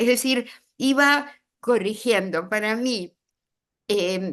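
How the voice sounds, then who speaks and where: The speaker has a lively intonation against a quiet background. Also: woman. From Argentina, Buenos Aires. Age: 80s+. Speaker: writer. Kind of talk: interview. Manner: animated, moves hands while talking.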